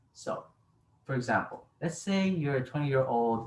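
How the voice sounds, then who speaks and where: The somewhat breathy voice moves at a moderate pace with lively intonation. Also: man. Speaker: college student. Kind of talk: informative class speech.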